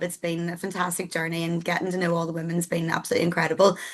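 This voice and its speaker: Someone with a Northern Irish accent talks at a very fast pace. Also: woman. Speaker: business support programme staff. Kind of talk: online info session presentation. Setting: video call.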